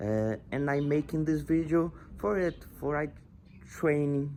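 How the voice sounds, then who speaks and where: Very slowly, a man speaks with a Portuguese accent. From Brazil. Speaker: language learner vlogger. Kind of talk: tutorial. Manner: halting.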